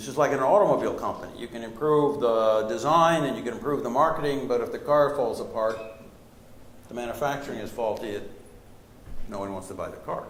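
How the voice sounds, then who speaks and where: A man talks very fast at a medium pitch, with ordinary pitch variation and big swings in loudness. Noticeable background noise and audible room echo fill the recording. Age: 60s. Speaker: professor and strategy author. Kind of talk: lecture Q&A answer.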